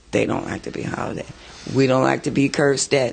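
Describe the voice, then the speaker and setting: A man races along at a very fast pace amid noticeable background noise. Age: 60s. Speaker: community elder and parent. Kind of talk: group discussion advice. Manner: animated storytelling.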